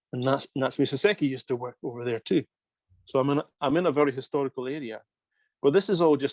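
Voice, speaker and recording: Against a quiet background, a man with a Scottish accent talks in a fairly high pitch. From Scotland. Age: 50s. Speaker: manga writer. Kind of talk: interview. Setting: video call.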